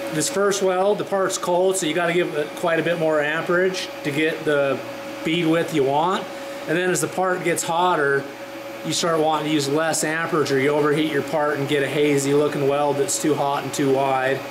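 Against noticeable background noise, a man keeps a moderate pace and fairly even intonation. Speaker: instructor. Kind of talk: tutorial. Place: workshop.

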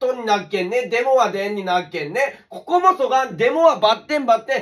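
Against a quiet background, a man talks at a fairly quick pace with a Saga accent. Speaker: dialect teacher. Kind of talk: casual comedic dialect lesson to camera. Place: home room. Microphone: phone near.

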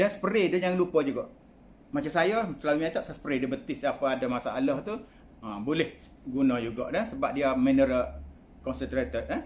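Pitched fairly high, a man speaks at a moderate pace with lively intonation. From Kelantan, Malaysia (Pasir Mas); Kelantan, Malaysia. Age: 60s. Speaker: product promoter. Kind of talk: testimonial. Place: home room. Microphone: phone near.

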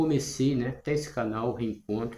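A man's somewhat breathy, dark and mellow voice at a fairly slow pace with ordinary pitch variation, amid audible room echo and light background noise. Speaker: natural health and self-healing channel host. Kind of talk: casual talk to camera. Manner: hesitant, with frequent fillers. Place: home room. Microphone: phone near.

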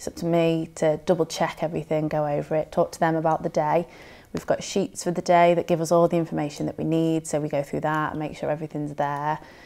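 A woman with a Merseyside accent talks at a very fast pace in a very deep, low pitch, her tone dark and mellow and her intonation monotone and flat. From northern England, Merseyside (Southport); northern England. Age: 20s. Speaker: standby art director in TV. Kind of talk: career interview. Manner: casual, hesitant with fillers. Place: home room.

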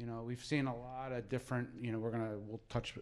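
An American accent from a male speaker. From southern New Jersey. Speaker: gambling education advisor; presenter. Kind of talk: presentation. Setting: room with live audience. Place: meeting room. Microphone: handheld.

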